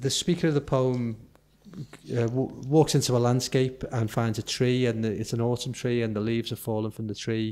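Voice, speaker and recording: A man with a dark, mellow tone speaks at a moderate pace with fairly even intonation. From Liverpool. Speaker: poet. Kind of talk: conference talk. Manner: hesitant, conversational. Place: hall. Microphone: podium.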